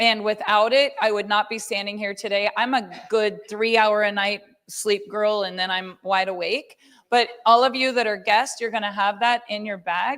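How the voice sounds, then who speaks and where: The woman has a normal speaking voice at a fairly high pitch. She talks at a moderate pace with ordinary pitch variation. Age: 50s. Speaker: network marketing company leader. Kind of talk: sales pitch.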